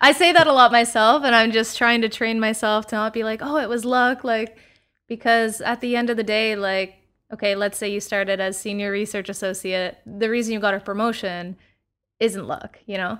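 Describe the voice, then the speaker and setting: A woman with a Canadian accent, fairly high-pitched and bright, sharp in tone, at a moderate pace with ordinary pitch variation, on a very clean recording with a silent background. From Canada, London, Ontario. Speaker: biotech scientist. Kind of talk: casual interview.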